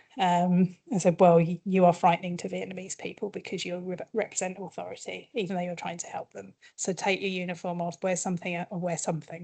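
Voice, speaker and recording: With a British accent, this woman speaks at a fairly quick pace in a fairly low pitch, her dark, mellow tone held to a monotone, flat intonation, with big swings in loudness and hardly any pauses. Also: quiet background. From UK. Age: middle-aged. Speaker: communications consultant. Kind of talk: workshop presentation. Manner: quiet.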